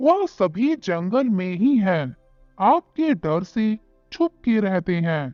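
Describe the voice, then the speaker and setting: In a cartoonish character voice at a middle pitch, the speaker talks at a fairly slow pace with very wide pitch swings over faint music in the background. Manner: polite, respectful.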